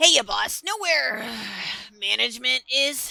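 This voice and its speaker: At a fairly slow pace, a put-on character voice is performed. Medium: audio drama. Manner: sarcastic.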